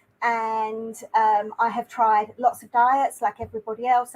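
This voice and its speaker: A woman with a British accent, fairly high in pitch and fairly slow, in a dry, close sound with no echo. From UK. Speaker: YouTuber. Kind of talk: interview.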